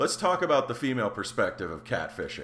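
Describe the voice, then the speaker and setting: A man with a medium pitch uses an animated, bright, sharp tone. His voice carries vocal fry and very wide pitch swings. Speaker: podcast host. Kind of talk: casual banter, comedic chat. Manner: animated, joking.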